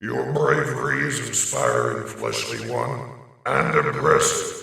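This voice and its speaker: A man speaks in a put-on character voice at a fairly slow pace, with a strong echo around him. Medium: read story. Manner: formal, stately menace.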